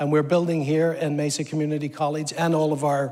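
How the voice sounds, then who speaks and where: A man at a very fast pace with a slight Northern Irish accent, fairly high in pitch and monotone, with flat intonation. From Northern Ireland, Belfast. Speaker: government apprenticeship program lead. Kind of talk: TV interview. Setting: stage with audience.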